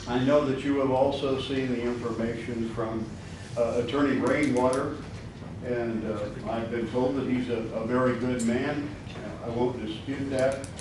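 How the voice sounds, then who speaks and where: Amid noticeable background noise and audible room echo, a man with an American accent speaks at a medium pitch, fairly slowly, in a monotone, flat way. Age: 70s. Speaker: citizen addressing county officials. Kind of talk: public comment speech.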